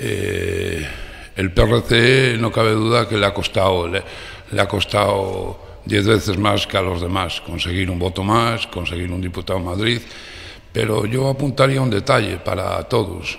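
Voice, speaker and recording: A man's plain, everyday voice, fairly low, with ordinary pitch variation and a fairly slow pace. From Cantabria, Spain. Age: 50s. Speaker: mayor and local candidate. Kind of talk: radio interview. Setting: radio studio, live. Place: studio.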